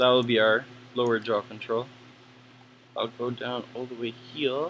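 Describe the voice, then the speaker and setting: Noticeable background noise sits behind a man mumbling at a medium pitch. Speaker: 3D animation tutor. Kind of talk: tutorial. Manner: casual.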